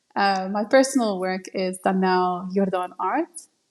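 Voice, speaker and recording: A woman with ordinary pitch variation talks fairly slowly at a medium pitch. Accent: South African. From South Africa, Cape Town. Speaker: live wedding painter, artist. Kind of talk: interview.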